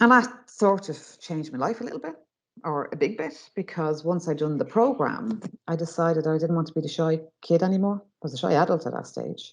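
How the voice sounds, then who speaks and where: In a north Dublin accent, a woman speaks with a very deep, low pitch. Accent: flat north side Dublin. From Ireland, North Dublin (Finglas). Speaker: mindset trainer and former youth worker. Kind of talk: webinar talk. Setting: online webinar. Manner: fast when excited.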